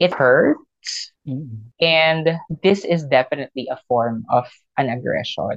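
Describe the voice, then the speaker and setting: Very slow and very deep, this woman's low-pitched voice carries lively intonation. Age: 30s. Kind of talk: casual interview. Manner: animated.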